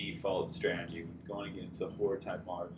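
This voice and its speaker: With audible room echo, a somewhat breathy man speaks at a moderate pace. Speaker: tabletop wargaming video commentator. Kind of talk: battle report narration over pictures. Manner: casual with many fillers and restarts.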